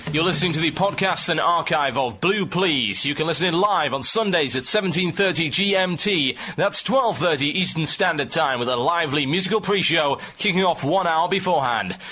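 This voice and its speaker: Over noticeable background noise, a man talks at a high pitch and a fairly quick pace, with very even loudness and hardly any pauses. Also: ordinary pitch variation. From England. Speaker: radio show host. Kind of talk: ranting radio talk. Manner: sarcastic.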